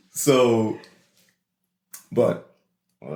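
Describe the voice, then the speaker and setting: Vocal fry marks this man's speech. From New Orleans, Louisiana. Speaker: podcast co-host. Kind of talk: casual chat. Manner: animated storytelling.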